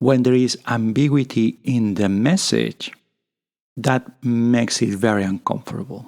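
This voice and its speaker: The speaker has a Spanish accent and a fairly slow pace. Pitch varies in an ordinary way. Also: man. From Spain. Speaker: podcast host. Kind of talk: casual monologue. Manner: improvised, halting.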